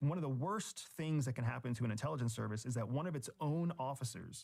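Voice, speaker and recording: A man with an American accent talks fairly quickly in a somewhat breathy voice. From rural Pennsylvania. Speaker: former intelligence officer and author. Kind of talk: interview.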